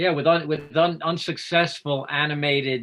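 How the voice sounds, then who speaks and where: A man speaks with a New York accent at a moderate pace. His pitch is fairly high and his intonation fairly even. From New York, Bronx and Long Island. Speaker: special effects artist and filmmaker. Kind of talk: interview.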